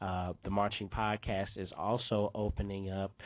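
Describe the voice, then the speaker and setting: This man has a fairly low voice and an unremarkable speaking voice. He talks at a fairly slow pace with fairly even intonation. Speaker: podcast host. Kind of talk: show announcements; casual interview.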